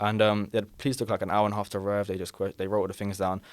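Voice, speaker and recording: In a London accent, a man talks at a very fast pace with a fairly low pitch, in a very clean recording with a silent background. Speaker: podcast guest, robbery victim. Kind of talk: casual chat, storytelling. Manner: animated.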